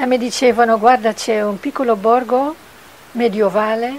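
Speaking in a Dutch accent, a woman with fairly high pitch keeps her intonation fairly even at a moderate pace. Light background noise runs underneath. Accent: Dutch accent in Italian. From Netherlands. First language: Dutch (speaking Italian). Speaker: puppet maker. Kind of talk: interview; interview answer. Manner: halting. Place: workshop. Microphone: handheld.

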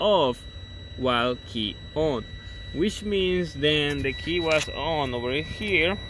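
Over noticeable background noise, a man speaks at a very slow pace, the sound dry with no echo. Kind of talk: tutorial. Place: car. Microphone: phone near.

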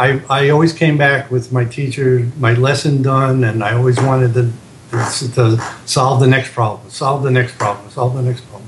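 The voice moves at a moderate pace in monotone, flat intonation. Background noise is noticeable. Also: man, medium pitch for a man. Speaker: guitar teacher. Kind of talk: interview. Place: home room. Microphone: webcam.

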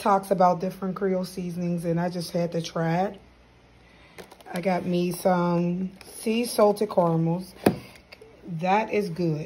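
A woman's very slow, fairly evenly intoned speech over noticeable background noise. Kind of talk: casual vlog chat. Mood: relaxed, pleased. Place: kitchen. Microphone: phone near.

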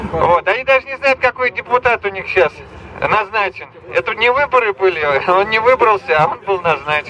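At a moderate pace, a man speaks in a raised, projected voice with lively intonation, in a dry sound with no echo over light background noise. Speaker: speaker, candidate. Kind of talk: public rally speech. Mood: critical, political complaint. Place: street.

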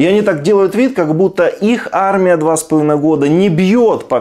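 At a moderate pace, a man speaks in a slightly mellow tone.

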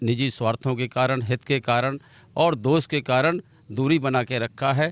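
The man speaks at a fairly slow pace with fairly even intonation. The sound is dry, with no echo. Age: 50s. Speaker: politician, former state legislator; politician. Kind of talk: interview. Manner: halting. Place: open country. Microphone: handheld.

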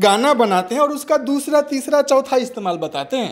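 His pitch swings very widely as this man talks at a fairly slow pace. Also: quiet background. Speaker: interviewee. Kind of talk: satirical interview answer. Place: studio. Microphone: handheld.

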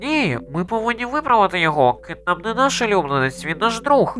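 A put-on character voice at a fairly high pitch and fairly quick pace, with very wide pitch swings over clear background noise. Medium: fan dub. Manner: earnest, serious.

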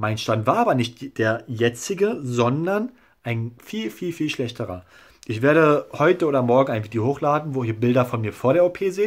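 A man talks at a medium pitch with lively intonation. The background is quiet. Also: moderate pace. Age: 20s. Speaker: YouTuber documenting his hair transplant; vlogger sharing a hair transplant result. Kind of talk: casual video blog. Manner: hesitant, filler-heavy. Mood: calm, satisfied. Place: home room. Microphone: phone near.

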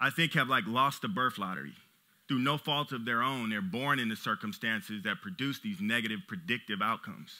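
Against a quiet background, a man speaks with an American accent. His pace is fairly quick. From Los Angeles, US. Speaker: business owner and CEO; conference speaker. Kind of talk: motivational talk. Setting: stage with audience. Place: stage. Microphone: headset.

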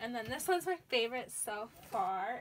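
A woman speaks at a moderate pace. Light background noise sits behind her. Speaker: vlogger showing her plants. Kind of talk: casual vlog chat. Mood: cheerful, amused. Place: home room.

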